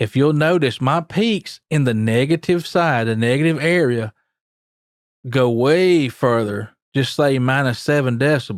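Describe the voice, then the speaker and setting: A man speaks at a fairly slow pace and medium pitch, with ordinary pitch variation and very even loudness. The recording is very clean, with a silent background. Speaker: audio engineer / tutorial creator. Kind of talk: tutorial. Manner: casual, with fillers.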